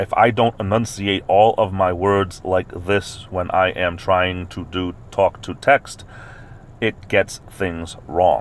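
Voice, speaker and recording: A man puts on a robotic character voice with a very deep, low pitch. He speaks at a fairly slow pace over clear background noise. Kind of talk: slow, crisp, deliberate. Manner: over-enunciated, robotic.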